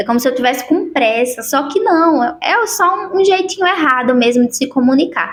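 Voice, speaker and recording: Over noticeable background noise, a high-pitched woman speaks at a moderate pace with hardly any pauses, very wide pitch swings and very even loudness. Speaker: self-help youtuber. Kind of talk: motivational talk to camera.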